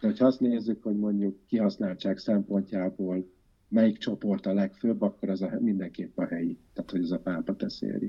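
Speaking at a moderate pace with fairly even intonation, a man has an unremarkable speaking voice with a fairly low pitch. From Győr, north-western Hungary. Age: 40s. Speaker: environmentalist and architect. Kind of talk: interview conversation.

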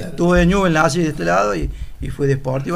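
At a fairly quick pace, a man speaks with lively intonation amid audible room echo. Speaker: former newspaper seller. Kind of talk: casual chat.

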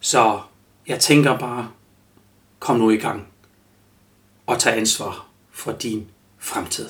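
With a German accent, a man at medium pitch speaks at a very slow pace in a monotone, flat intonation, leaving long, frequent pauses. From Germany. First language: German (speaking Danish). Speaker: life coach and podcast host. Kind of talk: solo podcast monologue. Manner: halting, many fillers.

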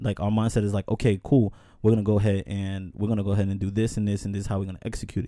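A man's fairly low, dark, mellow voice in an American accent, at a very fast pace with fairly even intonation, in a very clean recording with a silent background. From New York. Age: 30s. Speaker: podcast host. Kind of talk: casual chat.

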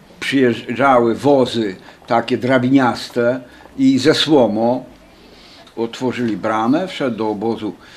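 A man at a very slow pace. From Poland. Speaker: wartime deportation survivor. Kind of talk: testimony.

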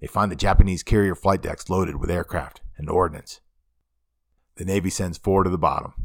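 This man talks at a fairly quick pace with a very deep, low pitch. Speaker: podcast host, aviation history narrator. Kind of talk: history documentary narration. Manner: measured, steady, formal narrator; informative, even-paced.

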